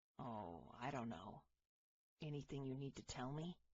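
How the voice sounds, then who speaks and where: Putting on a character voice, a man at a medium pitch sounds raspy, with lively intonation, very even loudness, and a moderate pace. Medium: read story. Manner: warm, steady.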